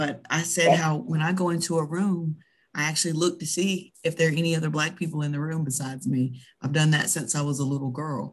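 The speaker has an American accent and talks at a fairly quick pace. The background is quiet. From US South. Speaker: podcast co-host. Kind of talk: casual chat.

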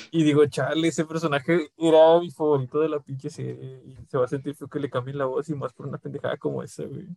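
A very fast, flat monotone with hardly any pauses, big swings in loudness, and a dry, close sound with no echo. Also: man, fairly high pitch for a man. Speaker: podcast co-host. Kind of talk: casual chat.

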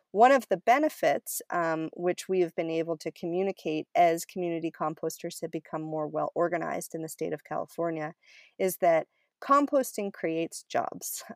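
A woman with an unremarkable speaking voice talks at a moderate pace, her fairly low pitch showing ordinary variation. The recording is very clean, dry and close, with no echo and a silent background. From Maine, US (Cumberland). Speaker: community composter and climate policy advocate. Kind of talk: interview.

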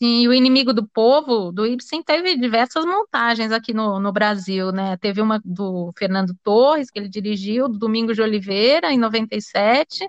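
This woman has an unremarkable speaking voice, fairly high in pitch, talking at a moderate pace with ordinary pitch variation and hardly any pauses. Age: 40s. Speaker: radio host. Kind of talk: radio interview.

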